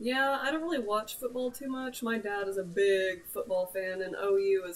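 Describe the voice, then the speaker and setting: A woman with a slight Oklahoma accent speaks at a moderate pace. Noticeable background noise is present. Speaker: gamer / livestreamer. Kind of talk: casual chat. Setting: livestream.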